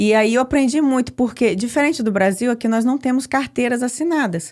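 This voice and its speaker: Here a woman talks at a fairly quick pace with a high pitch and ordinary pitch variation. Her loudness stays very even. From Brazil, Espírito Santo. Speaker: immigrant sharing life story. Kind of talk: podcast interview.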